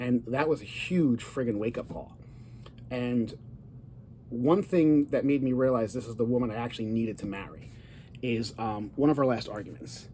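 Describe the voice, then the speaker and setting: In an animated tone, a man with a medium pitch speaks at a moderate pace with ordinary pitch variation. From Italian-American. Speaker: divorce coach and vlogger. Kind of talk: casual personal vlog monologue. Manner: loud.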